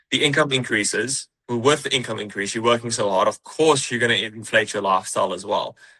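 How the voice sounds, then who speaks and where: Speaking at a very fast pace with hardly any pauses, a man with a New Zealand accent uses a medium pitch, ordinary pitch variation and a bright, sharp tone. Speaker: high-ticket sales closer. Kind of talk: interview podcast. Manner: casual, repetitive with false starts.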